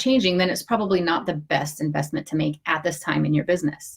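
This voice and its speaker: This voice is somewhat breathy, moving at a fairly quick pace with ordinary pitch variation. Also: woman. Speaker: online business advisor (CPA). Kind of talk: live video tutorial. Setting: home office, live stream. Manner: fast; casual, many filler words.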